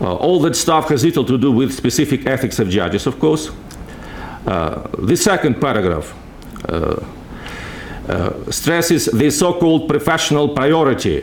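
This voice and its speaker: A man with a Russian accent speaks at a fairly high pitch, his voice swinging very widely in pitch, with long, frequent pauses. Noticeable background noise and audible room echo surround him. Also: moderate pace. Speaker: legal scholar. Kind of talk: conference talk. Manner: halting.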